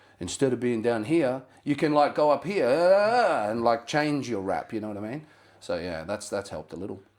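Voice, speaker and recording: With an Australian accent, a man speaks at a moderate pace at a medium pitch, his pitch swinging very widely and his loudness rising and falling sharply. The recording is very clean, with a silent background. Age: 30s. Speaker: rapper. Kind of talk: casual chat.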